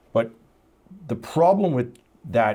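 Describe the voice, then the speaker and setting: A man speaks at a moderate pace, and his intonation is lively. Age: 60s. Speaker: entrepreneur and investor. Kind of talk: casual chat.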